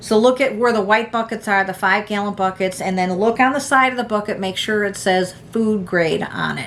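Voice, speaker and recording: With an American accent, a woman talks fairly quickly at medium pitch and fairly even intonation, hardly pausing, over noticeable background noise. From United States. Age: 60s. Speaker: prepping vlogger. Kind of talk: casual tutorial. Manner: halting, many fillers.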